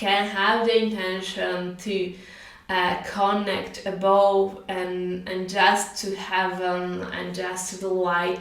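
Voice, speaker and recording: Monotone and flat, a woman with a non-native accent speaks very slowly at a medium pitch, her loudness swinging widely. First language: not English. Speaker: spiritual teacher. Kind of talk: casual talk to camera. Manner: hesitant, with filler sounds.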